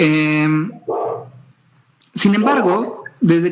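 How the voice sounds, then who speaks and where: A man speaks with a Mexican accent at a high pitch. His pace is very slow. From Mexico, Nayarit (Tepic). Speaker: scientist. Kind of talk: lecture.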